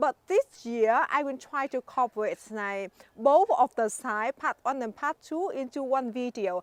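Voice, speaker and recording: A woman speaks with a Vietnamese accent, pitched high and with lively intonation. The sound is dry and close, with no echo. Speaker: gardening YouTuber. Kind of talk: garden tour vlog. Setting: outdoors in garden. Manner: halting, many fillers.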